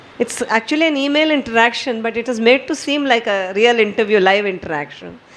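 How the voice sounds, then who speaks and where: The speaker keeps a moderate pace with ordinary pitch variation over noticeable background noise. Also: woman. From India (Maharashtra). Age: 60s. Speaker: poet and retired banker. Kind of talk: talk at a poetry gathering.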